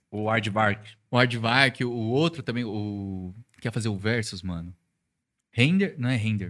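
Speaking at a fairly slow pace with long, frequent pauses, a man keeps a medium pitch and ordinary pitch variation. The recording is very clean, with a silent background. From Brazil, São Paulo. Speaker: podcast co-host and DJ. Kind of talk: casual chat.

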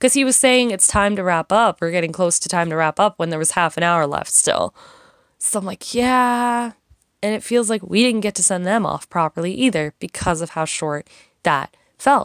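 Recorded very cleanly with a silent background and a dry, close sound with no echo, a woman speaks at a medium pitch and a moderate pace with lively intonation. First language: not Korean, English speaker. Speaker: solo podcaster. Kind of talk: casual monologue. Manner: casual, hesitant with fillers.

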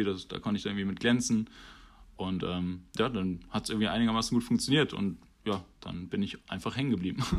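A man talks at a fairly quick pace in a fairly low pitch, with fairly even intonation. The recording is very clean, with a silent background. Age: 20s. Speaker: rugby player. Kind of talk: podcast interview. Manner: hesitant, many fillers.

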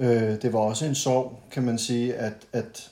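A man's very slow speech, dark and mellow in tone, at a medium pitch with fairly even intonation. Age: 30s. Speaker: podcast guest, friend of host. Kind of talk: casual chat. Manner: halting, many fillers.

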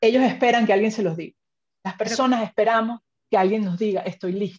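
The woman's voice is fairly high, with ordinary pitch variation and a dry, close sound with no echo. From Venezuela. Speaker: finance executive. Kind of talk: interview.

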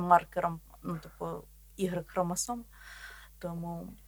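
A woman's voice at a medium pitch. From Volhynia, western Ukraine. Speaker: podcast co-host, biologist. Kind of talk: casual chat.

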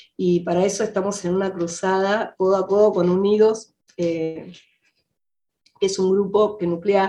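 A woman at a very slow pace, medium in pitch, with fairly even intonation. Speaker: film director. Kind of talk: interview.

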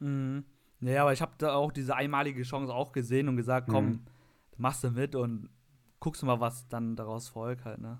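A man speaks in a monotone, flat intonation at a moderate pace. The recording is very clean, with a silent background. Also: medium pitch for a man. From Lower Rhine region, western Germany. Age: 20s. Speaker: IT administrator. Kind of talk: casual chat.

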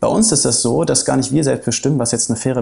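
The speech runs at a very fast pace. Pitch varies by an ordinary amount. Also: man. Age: 30s. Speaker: coffee company managing director. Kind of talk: interview.

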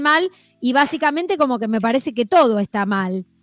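At a moderate pace, a woman speaks high in pitch with an animated tone and lively intonation, in a dry, close sound with no echo. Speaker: radio host. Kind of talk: casual chat.

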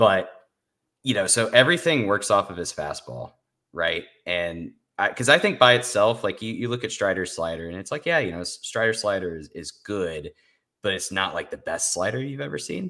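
A man with a fairly low pitch speaks at a moderate pace in a bright, sharp tone, with very wide pitch swings and big swings in loudness. The recording is very clean, with a silent background. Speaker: podcast co-host. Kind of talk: casual sports podcast chat. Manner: analytical, conversational.

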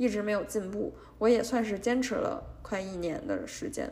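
Vocal fry runs through a woman's medium-pitched voice as she talks at a moderate pace with ordinary pitch variation, and audible room echo surrounds her. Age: 20s. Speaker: podcast host and junior litigation lawyer. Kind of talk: casual solo monologue. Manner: hesitant, many filler sounds.

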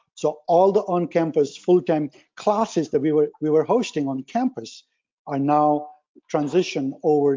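A man with a somewhat high pitch speaks rather slowly in an unremarkable speaking voice, his pitch varying in an ordinary way. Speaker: supply chain professor. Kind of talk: expert panel discussion. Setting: phone call.

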